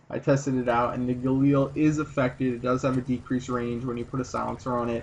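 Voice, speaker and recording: Over noticeable background noise, a man at medium pitch talks at a very fast pace in a monotone, flat delivery. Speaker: gaming commentator. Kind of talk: gameplay commentary. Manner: halting, many fillers.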